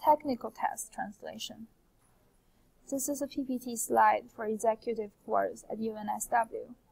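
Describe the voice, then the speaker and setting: In a Chinese accent, a woman talks at a moderate pace. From China. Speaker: translation student. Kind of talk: scripted presentation. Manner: formal.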